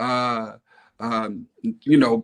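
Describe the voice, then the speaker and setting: A man with an American accent, ordinary pitch variation, and a dry, close sound with no echo. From New York, Staten Island. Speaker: hip hop DJ and producer. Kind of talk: interview. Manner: relaxed, filler-heavy.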